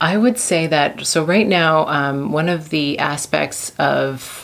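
A speaker in a Canadian accent shows ordinary pitch variation. Background noise is noticeable. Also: woman. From Canada. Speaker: assistant professor of management. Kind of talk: interview.

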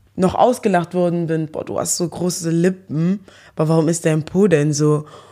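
A woman speaks in a fairly low, dark, mellow voice. The recording is very clean, with a silent background. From Germany, Eschweiler near Aachen. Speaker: social media personality. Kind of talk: interview.

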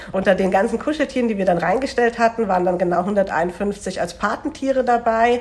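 Amid noticeable background noise, a fairly high-pitched woman speaks at a fairly quick pace with hardly any pauses and ordinary pitch variation. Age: 20s. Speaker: student teacher and charity volunteer. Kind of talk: casual interview.

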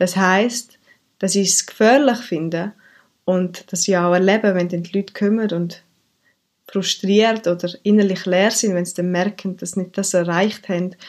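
The recording is very clean, and nothing can be heard behind the voice. An unremarkable speaking voice keeps a moderate pace, its intonation fairly even. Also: woman. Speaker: mindfulness coach. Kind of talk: podcast monologue; guided meditation.

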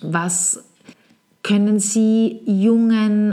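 A woman with a dark, mellow tone speaks somewhat breathily with fairly even intonation. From Vienna, Austria. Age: 40s. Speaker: podcast host, marketing consultant. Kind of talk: solo podcast monologue.

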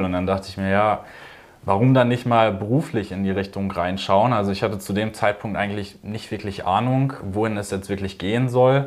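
Noticeable background noise sits behind a man whose fairly low voice moves at a fairly quick pace. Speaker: business student. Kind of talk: interview. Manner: hesitant with many fillers.

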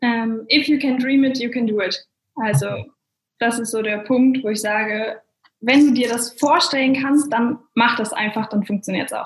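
A woman's fairly high-pitched, an ordinary speaking voice at a moderate pace, with ordinary pitch variation. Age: 20s. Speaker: network marketer. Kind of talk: interview.

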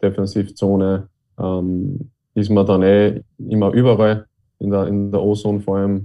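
A man speaks in a monotone, flat way at a fairly low pitch. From Upper Austria, Linz. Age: 20s. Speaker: ice hockey player. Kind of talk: interview. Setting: video call. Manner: halting, many fillers.

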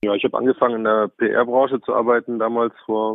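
A man with a fairly low pitch speaks in a monotone, flat way. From Bavaria, Lower Bavaria. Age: 40s. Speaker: politician, member of parliament. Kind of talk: interview. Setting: phone call.

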